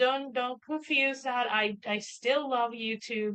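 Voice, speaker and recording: With a Puerto Rican accent, a woman speaks at a high pitch. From Puerto Rico. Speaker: writer and streamer. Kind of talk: casual chat. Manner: halting, many fillers.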